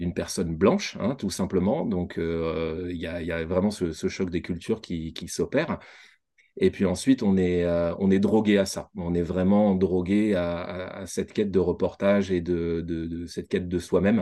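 A man speaks with a very deep, low voice and a dark, mellow tone at a fairly slow pace. His intonation stays fairly even against a quiet background. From New Caledonia. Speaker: entrepreneur, former photographer. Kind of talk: interview. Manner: hesitant with frequent fillers.

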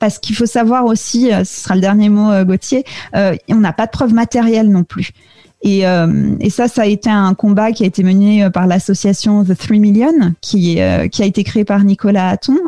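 A woman speaks at a moderate pace in a medium pitch, with ordinary pitch variation and very even loudness. Her voice is somewhat breathy, with a dark, mellow tone. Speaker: podcast producer, French expatriate. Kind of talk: interview. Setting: video call. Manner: hesitant, many fillers.

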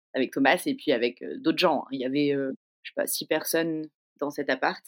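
At a moderate pace, a woman talks at a very deep, low pitch with ordinary pitch variation. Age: 30s. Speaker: podcast guest telling her love story. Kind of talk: personal storytelling. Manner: casual, hesitant with fillers.

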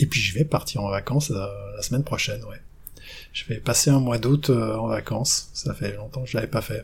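Moderate-paced speech from a man, medium in pitch, with vocal fry and ordinary pitch variation. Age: 50s. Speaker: ski coach and mental trainer. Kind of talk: interview.

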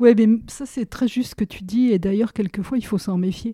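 A woman speaks at a medium pitch with a dark, mellow tone and ordinary pitch variation, recorded very cleanly against a silent background with a dry, close sound and no echo. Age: 60s. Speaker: social care manager and trainer. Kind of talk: interview.

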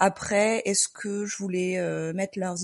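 A woman's plain, everyday voice at a medium pitch, with fairly even intonation. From southern France, Marseille. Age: 30s. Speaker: nurse. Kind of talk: personal testimony.

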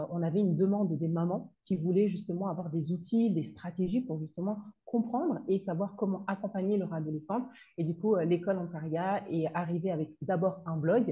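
At a moderate pace, a woman speaks with a dark, mellow tone that is somewhat breathy, her pitch varying in an ordinary way. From Comoros. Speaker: consultant and trainer on parenting teenagers. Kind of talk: interview. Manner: halting.

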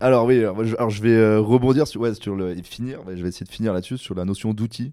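In a very clean recording with a silent background, a man with a fairly low pitch and a dark, mellow tone speaks at a fairly quick pace with ordinary pitch variation. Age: 30s. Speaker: sustainability consultant. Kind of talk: interview. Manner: halting, many repetitions and fillers.

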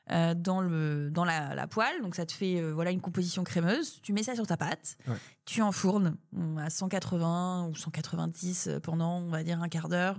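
In a normal speaking voice, a woman with fairly low pitch talks at a fairly slow pace, recorded very cleanly against a silent background. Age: 30s. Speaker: food company founder. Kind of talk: casual interview. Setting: coworking space.

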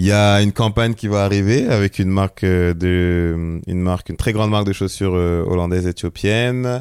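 A man's normal speaking voice, fairly low in pitch, at a moderate pace with fairly even intonation, very even loudness and a very clean recording with a silent background. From Seine-et-Marne, France. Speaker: photographer. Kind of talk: casual interview.

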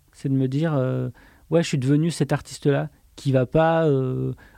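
This man's dark, mellow voice comes through a very clean recording with a silent background, his intonation fairly even and the sound dry and close with no echo. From France, Auvergne (Le Puy-en-Velay). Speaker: author and illustrator. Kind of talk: casual interview. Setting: studio. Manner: halting, many hesitations.

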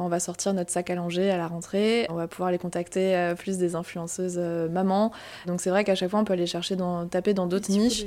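Over noticeable background noise, a woman talks at a fairly quick pace in a fairly low pitch with monotone, flat intonation. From Alsace, Strasbourg. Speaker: marketing manager. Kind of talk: interview.

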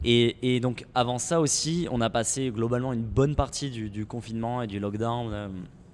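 Against noticeable background noise, the speaker keeps a moderate pace with ordinary pitch variation. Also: man, medium pitch for a man. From southern France, near Montpellier. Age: 20s. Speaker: startup co-founder. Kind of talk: podcast interview. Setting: in a shop. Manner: hesitant, many fillers.

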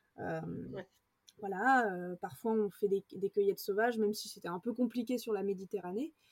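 A woman speaks at a moderate pace with a medium pitch and ordinary pitch variation. The sound is dry and close, with no echo. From France, rural village. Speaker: adventurer and actress. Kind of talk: interview. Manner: halting, many fillers.

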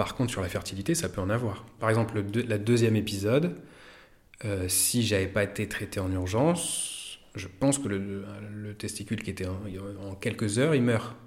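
A somewhat breathy male voice at a fairly low pitch, with ordinary pitch variation and a moderate pace. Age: 40s. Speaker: physiotherapist and acupuncturist. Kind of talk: personal testimony. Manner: halting.

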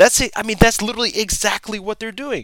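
A man speaks with a bright, sharp tone. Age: 30s. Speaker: podcast host, affiliate marketing entrepreneur. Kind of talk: solo podcast monologue. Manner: casual, filler-heavy.

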